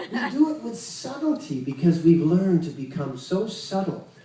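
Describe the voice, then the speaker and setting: Audible room echo and noticeable background noise around a man's fairly slow pace. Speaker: Kundalini yoga teacher. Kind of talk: spiritual lecture.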